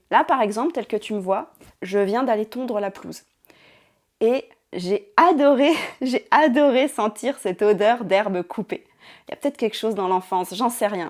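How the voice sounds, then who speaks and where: At a moderate pace, a woman speaks in a fairly high pitch. Her intonation is lively. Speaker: ASMR creator. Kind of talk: casual reflective talk to camera. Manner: soft-spoken.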